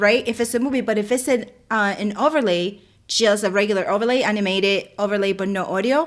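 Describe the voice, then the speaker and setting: Very fast speech with ordinary pitch variation is heard against a quiet background. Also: woman, fairly high pitch for a woman. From Dominican Republic. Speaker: live stream co-host. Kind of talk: live stream tutorial chat. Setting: live stream. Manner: loud. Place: home room. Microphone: mic far from her; studio mic.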